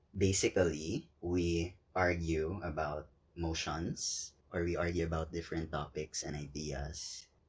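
A man with a Cebuano accent speaks in a very deep, somewhat breathy voice. His delivery is fairly slow and monotone. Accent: Cebuano Filipino English. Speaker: podcast co-host. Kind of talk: casual chat.

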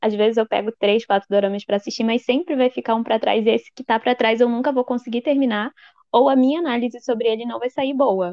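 This woman's voice is fairly high. She rushes through her words very quickly. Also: fairly even intonation. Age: 20s. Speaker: journalism student and blog administrator. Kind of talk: casual chat.

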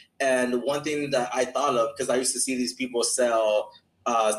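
This man has an ordinary speaking voice with an American accent and medium pitch. He talks at a fairly quick pace with fairly even intonation. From Los Angeles, California. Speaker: sales mentor. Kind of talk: interview.

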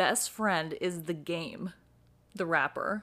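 Speaking with an American accent, a woman sounds animated at a fairly slow pace with ordinary pitch variation. The recording is very clean, with a silent background. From New York City. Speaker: podcast co-host. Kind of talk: casual chat.

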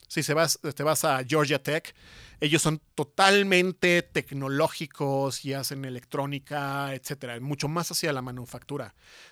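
Fairly high male voice, bright and sharp in tone, fairly slow and fairly even in intonation, on a very clean recording with a silent background and a dry, close sound with no echo. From Mexico, San Luis Potosí. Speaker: industrial design professor. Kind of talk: interview. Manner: halting, many fillers.

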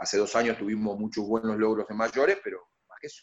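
A man with a plain, everyday voice, lively intonation and a fairly quick pace, the sound dry and close with no echo. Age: 50s. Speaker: basketball coach. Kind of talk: radio interview.

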